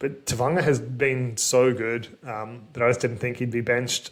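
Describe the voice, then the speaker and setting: A man with an Australian accent and a medium-pitched voice. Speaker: fantasy sports youtuber. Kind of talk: solo commentary video. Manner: fast; casual, filler-heavy.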